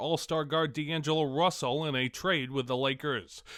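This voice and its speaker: At a fairly quick pace, a man with an unremarkable speaking voice keeps his intonation fairly even. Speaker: sports news correspondent / anchor. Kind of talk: radio sports newscast read.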